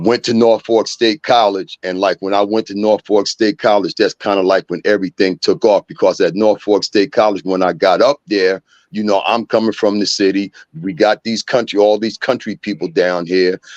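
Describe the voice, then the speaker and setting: Recorded with a dry, close sound and no echo over a quiet background, a man talks at a moderate pace and a fairly low pitch with ordinary pitch variation. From New Jersey (Long Branch). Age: 60s. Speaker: recovering addict sharing story. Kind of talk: testimony. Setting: podcast interview.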